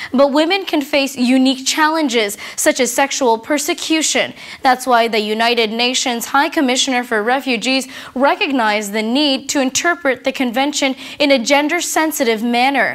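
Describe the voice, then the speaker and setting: A woman speaks in a high pitch against a quiet background. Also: ordinary pitch variation, moderate pace. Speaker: TV show host. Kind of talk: TV interview and scripted narration. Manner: formal. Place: studio.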